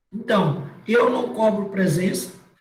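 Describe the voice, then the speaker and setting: The speech comes at a very slow pace. Audible room echo surrounds it. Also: man. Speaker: university lecturer. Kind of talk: online class lecture.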